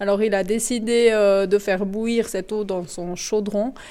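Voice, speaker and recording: A woman's medium-pitched voice, dark and mellow in tone, with fairly even intonation and a very slow pace. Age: 40s. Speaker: mine guide and train driver. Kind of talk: guided tour interview. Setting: salt mine, underground tunnels and train.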